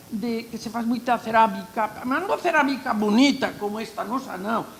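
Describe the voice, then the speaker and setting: A woman with a high pitch speaks at a fairly slow pace, her pitch varying in an ordinary way. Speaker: archaeologist. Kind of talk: panel talk. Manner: animated.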